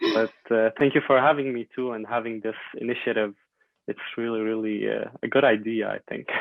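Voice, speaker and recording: Monotone and flat, a man with an Arabic accent speaks at a fairly quick pace. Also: medium pitch for a man. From Syria. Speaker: medical student, refugee. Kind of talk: podcast interview. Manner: hesitant with many fillers.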